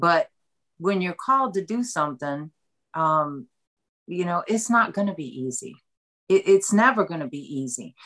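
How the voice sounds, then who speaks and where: Speaking at a moderate pace, a woman with a fairly low voice swings her pitch very widely and stops often for long pauses. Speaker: author. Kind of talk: interview about a book.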